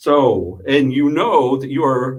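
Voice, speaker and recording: This man's voice has a fairly high pitch. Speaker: radio host. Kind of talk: casual chat. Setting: radio studio. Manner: loud.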